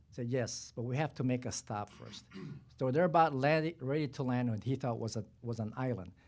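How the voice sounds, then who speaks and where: This man has a non-native accent and a medium pitch. He talks at a moderate pace with ordinary pitch variation. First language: not English. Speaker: retired army general. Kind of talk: panel discussion. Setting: press conference. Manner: halting.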